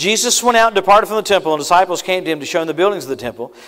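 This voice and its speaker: A man's high-pitched, animated voice with lively intonation and a Louisiana accent, over a quiet background. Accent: Southern US (Louisiana). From US South, Louisiana. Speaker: travelling preacher. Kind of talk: sermon. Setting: church service. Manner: animated, punchy preaching cadence with rapid asides and call-and-response amens; quick-fire, repetitive stammering starts when building a point. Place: church. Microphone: lapel.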